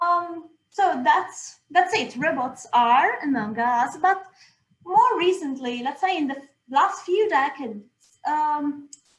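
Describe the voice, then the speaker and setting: A woman speaks at a very slow pace with a high pitch. Her intonation is lively, and there is audible room echo. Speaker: robotics researcher, keynote speaker. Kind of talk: lecture. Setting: video call with screen share.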